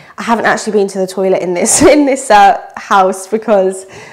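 A woman is speaking here. Her pace is moderate. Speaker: vlogger. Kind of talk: casual vlog chat. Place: home room. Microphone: phone near.

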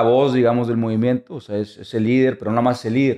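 Over a quiet background, a man speaks at medium pitch with a dark, mellow tone. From Monterrey, Mexico; Mexico. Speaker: photojournalist and documentary filmmaker; photojournalist. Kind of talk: interview. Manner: halting. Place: studio. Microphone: studio mic.

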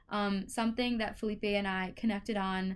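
A woman talks at a fairly quick pace with ordinary pitch variation against a quiet background. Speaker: engineering student. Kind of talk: testimonial. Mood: upbeat, enthusiastic. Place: home room. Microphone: webcam.

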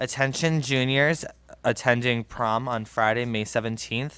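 Fairly even intonation, a bright, sharp tone, and a dry sound with no echo. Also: man. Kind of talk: reading announcements at a meeting. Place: meeting room. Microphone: podium.

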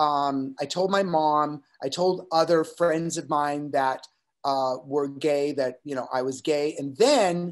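Someone speaks at a very slow pace over a quiet background. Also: man. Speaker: podcast guest. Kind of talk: interview answer. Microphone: webcam.

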